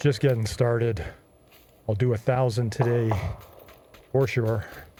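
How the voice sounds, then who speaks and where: The voice is somewhat breathy, with very even loudness, fairly even intonation and a fairly slow pace. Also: man, medium pitch for a man. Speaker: gaming fitness vlogger. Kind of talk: gameplay commentary while exercising. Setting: pedaling an exercise cycle while gaming.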